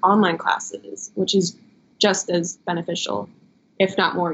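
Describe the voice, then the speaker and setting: A woman's fairly low, monotone, flat voice with vocal fry, in an American accent at a moderate pace. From Chicago suburbs, US Midwest. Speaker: model. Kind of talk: interview.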